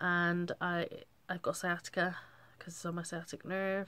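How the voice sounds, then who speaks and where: Monotone, flat intonation in an English accent. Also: woman. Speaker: vlogger. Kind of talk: casual chat. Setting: bedroom. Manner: halting.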